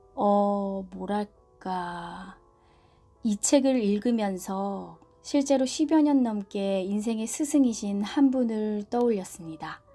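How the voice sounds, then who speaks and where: Very slow, calm delivery from a woman at medium pitch, with ordinary pitch variation and music in the background. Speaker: book reviewer and reader, audiobook/ASMR channel host. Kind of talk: book review and reading narration. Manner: soft, calm.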